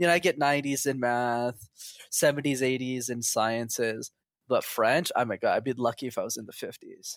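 A plain, everyday voice with a Canadian accent moves at a moderate pace with fairly even intonation. The sound is dry and close with no echo, in a very clean recording with a silent background. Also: man, medium pitch for a man. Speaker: interview guest. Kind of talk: casual chat.

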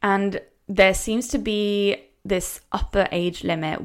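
A woman speaks with a Norwegian accent and fairly even intonation. The recording is very clean, with a silent background. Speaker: language coach. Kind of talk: educational podcast lecture.

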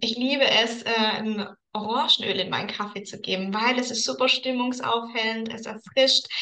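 A woman's fairly high voice, a normal speaking voice, with fairly even intonation, a moderate pace and big swings in loudness. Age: 30s. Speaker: aromatherapy consultant. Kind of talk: casual interview chat.

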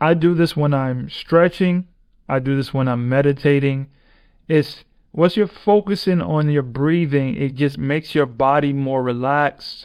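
The pace stays moderate and the pitch varies in an ordinary way. Behind an unremarkable speaking voice, the background is quiet. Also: man. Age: 30s. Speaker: podcast host and professional basketball player. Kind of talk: motivational monologue.

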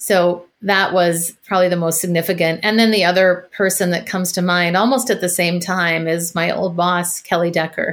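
A woman speaks in an American accent with a normal speaking voice and a fairly low pitch. Her intonation is fairly even, her pace moderate, and the recording very clean with a silent background. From US Midwest, Minneapolis. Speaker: voice and confidence coach. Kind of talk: casual interview chat.

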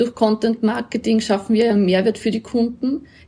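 A woman's fairly high, somewhat breathy voice, dark and mellow, with a slight Upper Austrian accent and monotone, flat intonation. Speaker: agency executive. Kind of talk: interview.

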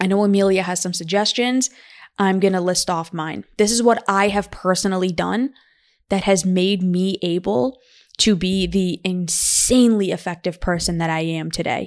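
This woman has a normal speaking voice at a medium pitch. Her intonation is fairly even. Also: moderate pace, very clean recording, silent background. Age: 20s. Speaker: podcast co-host. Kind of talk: casual chat.

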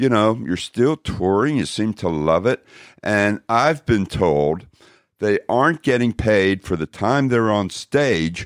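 A man's ordinary speaking voice, fairly low in pitch, with lively intonation at a fairly slow pace, dry and close with no echo, on a very clean recording with a silent background. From Texas, Dallas. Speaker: podcast host. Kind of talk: interview.

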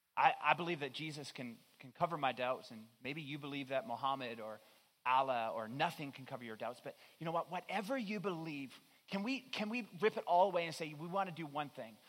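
A man's fairly high, ordinary speaking voice at a fairly quick pace, with lively intonation and big swings in loudness. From Newfoundland, Canada. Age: 30s. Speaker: pastor. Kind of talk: sermon.

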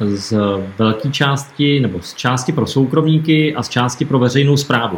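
Medium-pitched male voice, an unremarkable speaking voice, with ordinary pitch variation and moderate pace. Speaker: nonprofit chairman and interviewer. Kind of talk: interview.

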